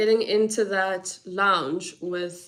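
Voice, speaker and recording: A woman speaks at a very slow pace. Her medium-pitched voice stays monotone and flat. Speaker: vlogger. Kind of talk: casual vlog chat. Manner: halting.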